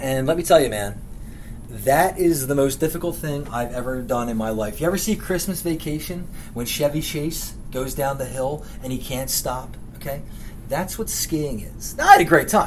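With an American accent, a man speaks in a normal speaking voice at a moderate pace. His pitch is fairly high, with ordinary pitch variation. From Philadelphia, lifelong resident. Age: 30s. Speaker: podcast host. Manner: blunt, profane, comedic rant style.

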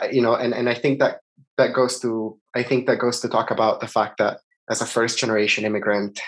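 Monotone, flat intonation at a fairly quick pace. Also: man. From Italy. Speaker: neuroscience graduate researcher. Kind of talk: interview.

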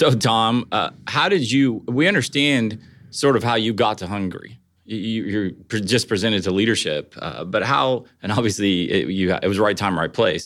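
On a very clean recording with a silent background, a man with an American accent uses an ordinary speaking voice, a fairly low pitch and ordinary pitch variation at a moderate pace. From Ohio. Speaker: podcast host. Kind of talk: interview.

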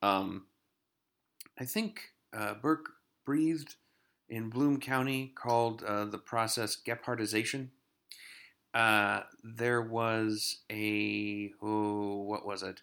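Over a silent background in a very clean recording, a man of medium pitch speaks at a very slow pace with long, frequent pauses. His tone is bright and sharp, and his intonation fairly even. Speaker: TV recap podcaster. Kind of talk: casual solo review monologue. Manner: hesitant, many fillers.

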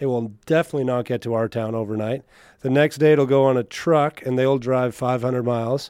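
A man talks in an ordinary speaking voice at a medium pitch and a fairly quick pace, with fairly even intonation. The sound is dry and close with no echo. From Canada, northern Alberta (Mennonite community near La Crete). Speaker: country singer. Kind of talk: interview.

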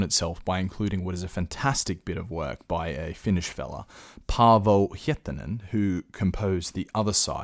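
A man with an Australian accent, very deep and low in pitch, with ordinary pitch variation, on a very clean recording with a silent background. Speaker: podcast host. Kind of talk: solo commentary. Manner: casual.

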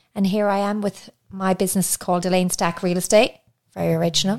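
A woman's fairly low voice with a slight Irish accent and ordinary pitch variation. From Ireland. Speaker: podcast co-host, property manager. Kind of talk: casual chat.

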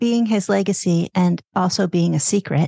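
A somewhat breathy woman's voice with a dark, mellow tone, ordinary pitch variation, and a dry, close sound free of echo. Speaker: podcast host. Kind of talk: casual interview conversation.

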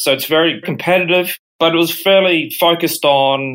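A man talks with an Australian accent. His pitch variation is ordinary. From Brisbane, Australia. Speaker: payments company executive. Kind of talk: interview.

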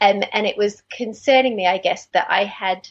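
Moderate speed from a woman with an Australian accent. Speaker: dentist. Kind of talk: interview.

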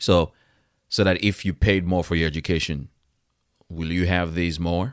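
In a very clean recording with a silent background, a man speaks with a very deep, low pitch and fairly even intonation. He keeps a moderate pace with long, frequent pauses. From West Africa. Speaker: nurse and podcast host. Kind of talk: solo podcast monologue. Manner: conversational, direct.

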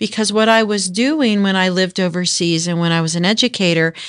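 A woman with an American accent has a plain, everyday voice at a medium pitch. She talks at a fairly quick pace with fairly even intonation over a quiet background. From North Texas. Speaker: workforce agency executive. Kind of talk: interview.

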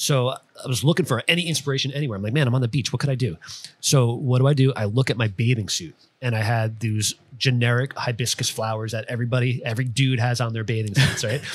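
A somewhat breathy man's voice at a fairly quick pace. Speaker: tattoo artist podcast host. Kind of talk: casual podcast chat.

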